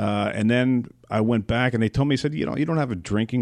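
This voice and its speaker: In a plain, everyday voice with an American accent, a man speaks at medium pitch with ordinary pitch variation. His pace is fairly quick, and the background is quiet. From US Northeast, Long Island. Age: 40s. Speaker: radio personality, former football player. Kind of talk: interview.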